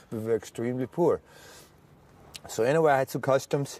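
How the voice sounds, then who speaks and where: A man speaks fairly quickly at a medium pitch with a German accent. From Germany. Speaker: war veteran. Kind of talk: testimony. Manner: halting.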